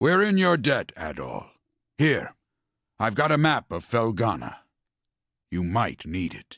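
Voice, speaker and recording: A man uses a put-on character voice that is raspy and medium in pitch, moving at a fairly slow pace. He leaves long, frequent pauses in a very clean recording with a silent background. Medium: video game. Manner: earnest.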